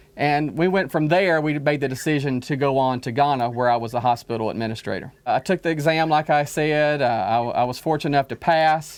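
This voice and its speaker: With an Alabama accent, a man speaks at a fairly quick pace in a fairly high pitch. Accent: Southern US (Alabama). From Alabama, US South. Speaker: diplomat. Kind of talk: interview.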